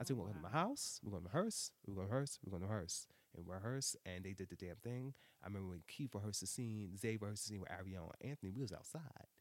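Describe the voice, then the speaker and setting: A man talks at a very fast pace with a New York accent. His pitch varies in an ordinary way. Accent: New York City (Brooklyn). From Brooklyn, New York City (Brownsville). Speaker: web series creator, writer and director. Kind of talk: casual interview chat. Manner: animated.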